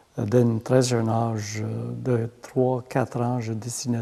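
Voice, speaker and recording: A man's medium-pitched voice, dark and mellow in tone, at a very slow pace with fairly even intonation. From rural Saskatchewan, Métis francophone village near Manitoba border. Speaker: artist. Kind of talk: oral history interview. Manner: halting, with many hesitations.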